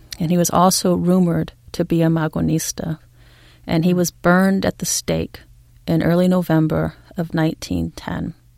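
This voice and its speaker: With a Californian accent, the speaker keeps a moderate pace. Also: woman. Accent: General American (Californian). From California, US (San Diego). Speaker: historian. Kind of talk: interview.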